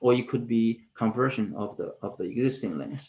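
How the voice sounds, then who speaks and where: A man's voice at a fairly quick pace. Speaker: professor. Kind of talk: conference presentation. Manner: fast; halting, many fillers and repetitions.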